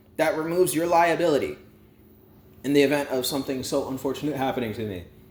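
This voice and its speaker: Animated and lively in intonation, a man speaks with vocal fry. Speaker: YouTube storyteller and vlogger. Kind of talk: casual rant to camera. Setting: at home. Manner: loud.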